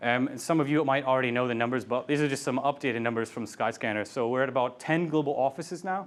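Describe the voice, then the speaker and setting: The speech comes very fast with hardly any pauses and ordinary pitch variation over a quiet background. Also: man, medium pitch for a man. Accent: American. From US Midwest, Ohio. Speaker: product manager. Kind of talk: meetup talk. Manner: casual, many fillers.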